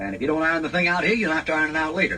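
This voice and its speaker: A man with a fairly high voice, talking very fast in an animated tone over noticeable background noise. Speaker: Bible preacher. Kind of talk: ad-lib Bible commentary retelling a story in colloquial speech. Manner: folksy, conversational, animated.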